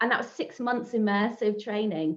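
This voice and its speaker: Fairly quick delivery from a woman with a fairly high voice. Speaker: social media marketing trainer. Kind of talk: online workshop presentation. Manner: fast.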